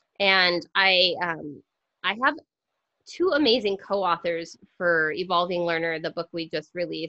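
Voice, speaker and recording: A woman speaks with a fairly low pitch and a bright, sharp tone. The sound is dry and close with no echo, and the background is quiet. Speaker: podcast co-host and educator, book author. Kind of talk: casual podcast conversation; guided breathing exercise. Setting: video call. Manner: fast.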